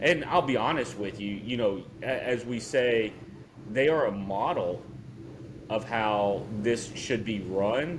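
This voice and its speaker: Speaking very slowly with an American accent, a man uses a medium pitch and ordinary pitch variation, with audible room echo. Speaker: podcast co-host. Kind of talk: casual chat.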